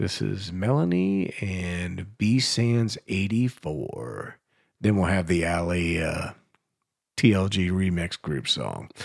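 A man with a very deep, low pitch and ordinary pitch variation speaks at a very slow pace. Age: 50s. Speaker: radio host. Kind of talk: casual radio DJ chat. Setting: home basement studio, live broadcast.

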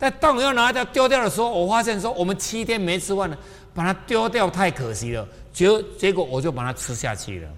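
The speaker's pitch swings very widely. The pace is fairly quick. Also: man, high pitch for a man. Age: 60s. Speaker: spiritual teacher. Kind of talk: lecture. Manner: animated.

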